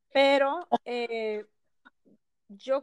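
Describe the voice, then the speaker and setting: A woman speaks at a high pitch with fairly even intonation, and the sound is dry and close with no echo. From Ensenada, Baja California, Mexico. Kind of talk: casual interview.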